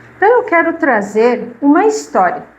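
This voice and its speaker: A woman speaks very slowly in a warm tone. Audible room echo surrounds her voice. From southern Brazil, Caxias do Sul, Rio Grande do Sul. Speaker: spiritist lecturer, retired literacy teacher. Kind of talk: talk to a live audience. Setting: spiritist centre with audience. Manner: warm, conversational.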